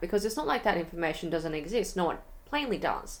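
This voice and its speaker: Her pitch is medium and her accent Australian as this woman speaks. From Melbourne, Australia. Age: young. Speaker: YouTuber. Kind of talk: casual talk to camera.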